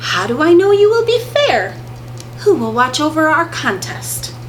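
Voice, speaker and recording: A woman does a put-on character voice at a moderate pace, with clear background noise behind her. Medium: read story. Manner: calm, steady.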